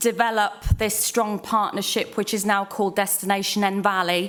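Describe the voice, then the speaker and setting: Noticeable background noise beneath a woman's voice at a moderate pace. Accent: Welsh. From Wales. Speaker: tourism manager. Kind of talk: conference panel introduction.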